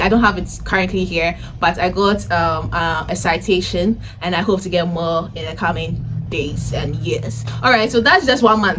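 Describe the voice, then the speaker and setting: A woman speaks in an animated tone. Noticeable background noise and audible room echo are present. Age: 20s. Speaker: vlogger and data analysis tutor. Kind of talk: casual vlog talk. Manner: loud.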